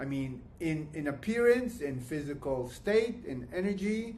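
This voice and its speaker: A man's pitch swings very widely. Audible room echo surrounds his voice. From Canada. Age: 60s. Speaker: client giving testimony. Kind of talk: testimony. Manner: halting, many fillers and restarts.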